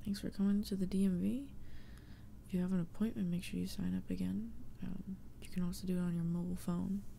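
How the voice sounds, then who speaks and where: A soft-spoken woman talks at a very fast pace. There is light background noise. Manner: soft-spoken ASMR clerk voice. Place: home room.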